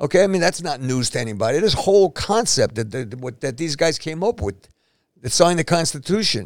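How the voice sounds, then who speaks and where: In a New York accent, a man talks at a fairly quick pace, his fairly high voice making very wide pitch swings. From New York City (East Harlem, Manhattan). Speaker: retired police officer. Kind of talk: casual chat. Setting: studio.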